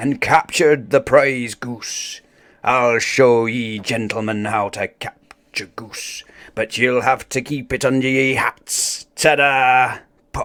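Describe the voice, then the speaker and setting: A man uses a raspy, put-on character voice at a medium pitch. He speaks at a fairly slow pace. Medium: read story. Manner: hearty, blustering pirate talk.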